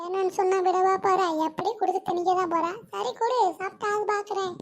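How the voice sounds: Someone performs a cartoonish character voice at a moderate pace. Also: woman, extremely high pitch for a woman, fairly even intonation.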